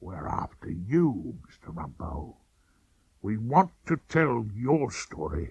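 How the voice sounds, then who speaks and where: Putting on a character voice, a man with a fairly low pitch talks at a very slow pace, with very wide pitch swings and big swings in loudness. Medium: old radio play. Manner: breezy, overly polite, keeps saying sir.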